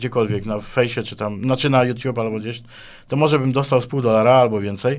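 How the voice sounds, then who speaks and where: A man speaks over a quiet background. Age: 50s. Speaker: guitarist and composer; guest. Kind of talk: interview. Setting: studio. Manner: halting, with many repetitions. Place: studio. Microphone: studio mic.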